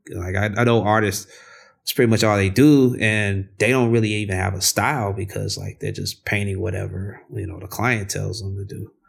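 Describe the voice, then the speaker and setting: A man with an American accent speaks at a moderate pace and fairly low pitch in a relaxed, somewhat breathy tone, his intonation fairly even but his loudness swinging widely, on a very clean recording with a silent background. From US Midwest, South Side of Chicago. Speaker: artist and muralist. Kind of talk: casual interview. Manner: relaxed, many fillers and repetitions.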